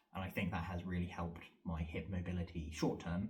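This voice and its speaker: Very deep and low, a man's voice comes across as somewhat breathy. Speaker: vlogger and fitness trainer. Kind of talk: casual vlog monologue. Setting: home training room, self-filmed. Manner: fast; rambling with fillers.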